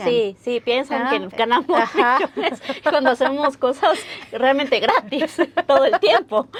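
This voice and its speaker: A woman's high voice with lively intonation at a fairly slow pace, over noticeable background noise. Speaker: interviewer, host. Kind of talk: interview questions.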